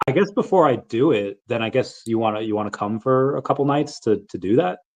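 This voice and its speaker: This man has a medium pitch and lively intonation. He speaks at a fairly quick pace. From Long Island, New York. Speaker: podcaster. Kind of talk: casual chat. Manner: animated.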